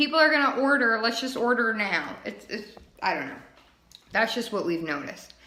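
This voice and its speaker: A woman's high-pitched voice with audible room echo. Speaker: direct sales team leader. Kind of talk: training webinar. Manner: casual, filler-heavy.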